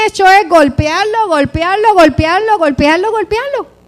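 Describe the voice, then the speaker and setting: A woman's extremely high voice with lively intonation at a moderate pace. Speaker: preacher. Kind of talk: sermon.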